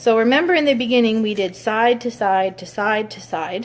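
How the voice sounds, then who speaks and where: Lively intonation marks a woman's ordinary speaking voice, pitched fairly high. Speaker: hairstylist. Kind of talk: tutorial.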